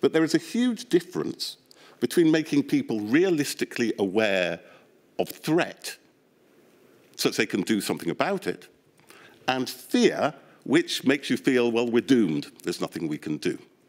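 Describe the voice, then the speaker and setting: A man with a British accent speaks at a moderate pace. He leaves long, frequent pauses. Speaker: behavioural scientist, inquiry witness. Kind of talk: testimony.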